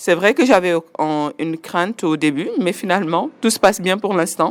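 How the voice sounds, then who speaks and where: This is an ordinary speaking voice from a woman at medium pitch. She talks at a moderate pace with ordinary pitch variation. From Senegal (Louga, Dakar). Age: 40s. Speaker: finance professional. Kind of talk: interview testimony.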